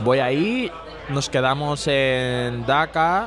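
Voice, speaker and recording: Medium-pitched male speech in a Bengali accent, with ordinary pitch variation and noticeable background noise. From Bangladesh. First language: Bengali (speaking Spanish). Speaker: immigrant sharing life story. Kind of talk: casual interview. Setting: bar.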